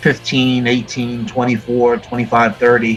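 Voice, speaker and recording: A man with an American accent talks at a moderate pace and medium pitch. Music plays in the background. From Florida. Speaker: metal musician. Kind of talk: interview. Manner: halting, many fillers.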